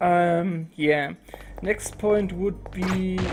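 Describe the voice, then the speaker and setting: A woman with a German accent and fairly even intonation, music in the background. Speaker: gaming YouTuber. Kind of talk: casual channel update monologue. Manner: halting, many fillers.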